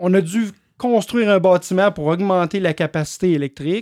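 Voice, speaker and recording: A man's high-pitched voice with a Quebec accent and ordinary pitch variation, at a fairly slow pace, in a dry, close sound with no echo and a very clean recording with a silent background. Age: 50s. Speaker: electric vehicle charging business owner. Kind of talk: interview.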